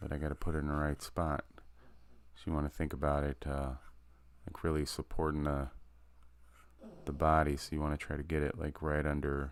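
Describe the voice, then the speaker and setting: The voice is quiet and the pace fairly quick. Long pauses come often. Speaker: artist live-streaming drawing practice. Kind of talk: casual live stream commentary. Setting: live stream. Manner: quiet while concentrating; halting, many fillers.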